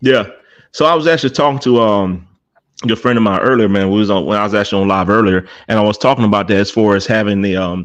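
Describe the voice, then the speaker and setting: Speaking at a very fast pace, a man with an American accent uses a fairly low pitch with ordinary pitch variation. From South Carolina, US. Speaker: cigar podcast host. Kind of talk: casual chat.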